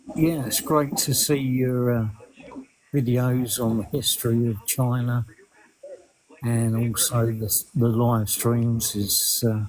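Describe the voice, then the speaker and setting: This man speaks in an English accent at a very slow pace. His pitch is medium and his intonation fairly even. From Essex, England. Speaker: viewer calling into a live stream. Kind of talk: casual chat.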